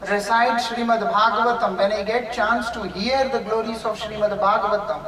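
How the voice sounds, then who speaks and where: Speaking at a moderate pace with hardly any pauses, a man with an Indian accent has a high pitch and monotone, flat intonation. Light background noise and audible room echo surround him. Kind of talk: spiritual lecture. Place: home room. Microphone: camera far.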